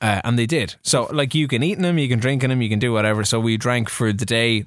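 With an Irish accent, a man talks at a fairly quick pace and medium pitch, his pitch varying in an ordinary way. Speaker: podcast host. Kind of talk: casual banter. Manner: jokey, bantering.

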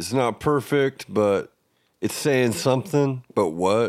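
A man speaks at a fairly slow pace in a normal speaking voice, his medium pitch rising and falling in lively intonation. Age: 30s. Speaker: podcast host. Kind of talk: casual chat.

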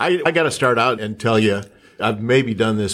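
Using an unremarkable speaking voice, a man with an American accent talks at a moderate pace and a fairly low pitch with ordinary pitch variation. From Minnesota. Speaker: journalist co-interviewer. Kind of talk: interview.

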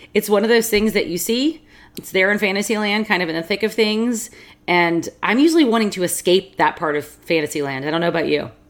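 In an American accent, a woman with an unremarkable speaking voice talks at a fairly quick pace, her medium pitch carrying lively intonation. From US South. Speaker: podcast co-host. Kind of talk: casual chat.

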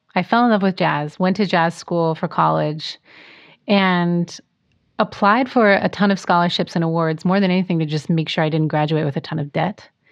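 A woman speaks with an American accent at a moderate pace and a fairly low pitch. It is an unremarkable speaking voice with ordinary pitch variation. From US Pacific Northwest. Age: 30s. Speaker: jazz singer and vocal teacher. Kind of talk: casual interview.

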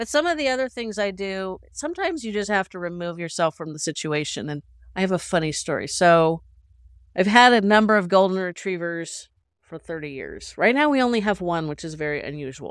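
A woman in a plain, everyday voice speaks at a fairly quick pace and medium pitch, with lively intonation and big swings in loudness. The recording is very clean, with a silent background. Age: 50s. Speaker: caregiver and portrait photographer. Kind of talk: casual interview chat.

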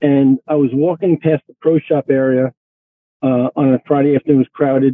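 A man's fairly high voice at a moderate pace, monotone with flat intonation and very even loudness. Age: 60s. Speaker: golf instructor. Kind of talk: casual chat.

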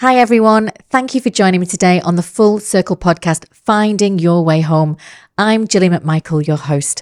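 Her voice is an ordinary speaking voice at medium pitch, with ordinary pitch variation. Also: dry, close sound with no echo, very clean recording, silent background. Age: 50s. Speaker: podcast host. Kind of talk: interview.

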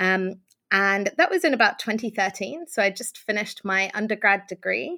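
In a British accent, a woman with a bright, sharp tone and medium pitch speaks at a moderate pace with lively intonation, in a very clean recording with a silent background. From UK, Iranian family. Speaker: author and remote work advocate. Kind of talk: interview. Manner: hesitant fillers, frequent ums.

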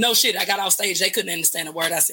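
A woman is talking here. Her speech carries a Southern US accent. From US South, West Memphis, Arkansas. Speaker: singer-songwriter. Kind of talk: casual chat.

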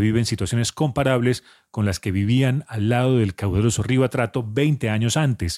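A man talks fairly quickly in an ordinary speaking voice at a medium pitch with ordinary pitch variation, the sound dry and close with no echo. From Colombia. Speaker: radio reporter. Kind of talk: field reporting.

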